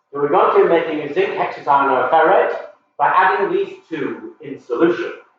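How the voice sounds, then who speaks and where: Room echo can be heard. A man speaks at a moderate speed. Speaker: science educator running a workshop. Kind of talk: live workshop lecture. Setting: live stream from workshop. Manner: loud, shouting to be heard.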